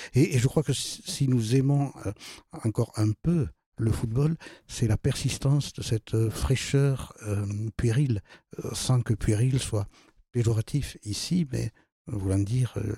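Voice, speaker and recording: On a very clean, dry, close recording with a silent background and no echo, a man speaks very slowly at medium pitch in a dark, mellow, somewhat breathy tone, with ordinary pitch variation and long, frequent pauses. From southern France, Toulouse. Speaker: philosopher and author. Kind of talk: interview discussion. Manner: halting, many repetitions.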